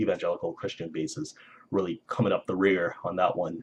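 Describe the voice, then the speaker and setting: This is a man speaking. His pace is fairly quick. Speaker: video blogger. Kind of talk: casual monologue vlog. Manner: halting, many fillers; quiet.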